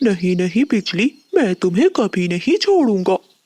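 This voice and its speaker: In a cartoonish character voice, a female-sounding speaker uses a fairly high pitch at a fairly slow pace. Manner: earnest, respectful.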